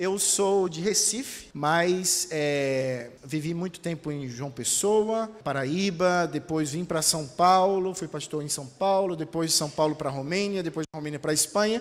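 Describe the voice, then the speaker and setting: High male pitch with ordinary pitch variation, on a very clean recording with a silent background. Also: fairly slow pace, hardly any pauses. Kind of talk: Brazilian Portuguese.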